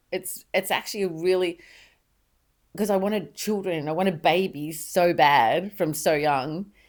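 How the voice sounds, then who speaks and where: A woman with an Australian accent talks fairly slowly and at a fairly low pitch, with fairly even intonation and long, frequent pauses. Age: 60s. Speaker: mother of the host. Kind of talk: casual chat. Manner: halting.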